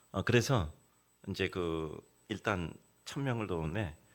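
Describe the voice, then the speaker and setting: Very deep and low in pitch, a man speaks in a very clean recording with a silent background. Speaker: guest preacher. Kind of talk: sermon. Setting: church. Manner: conversational storytelling with fillers.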